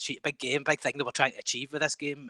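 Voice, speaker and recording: A man with a strong Scottish accent is heard in a dry, close sound with no echo. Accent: thick Scottish. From Scotland. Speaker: game developer. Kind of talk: podcast interview. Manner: halting.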